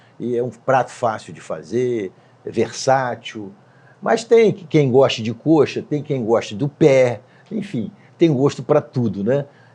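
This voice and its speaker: A man speaks very slowly at medium pitch, with a dark, mellow tone, lively intonation, and big swings in loudness. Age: 70s. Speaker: company CEO. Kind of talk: interview. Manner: hesitant.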